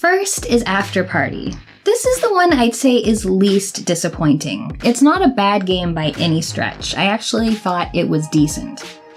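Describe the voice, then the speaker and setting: Music in the background behind a woman speaking at a moderate pace, hardly any pauses. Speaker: video game commentator. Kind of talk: game review voice-over.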